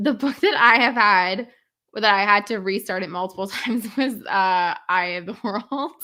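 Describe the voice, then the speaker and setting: A woman with a Canadian accent uses a plain, everyday voice at a medium pitch with ordinary pitch variation. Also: moderate pace. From Canada. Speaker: book content creator. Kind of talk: casual chat.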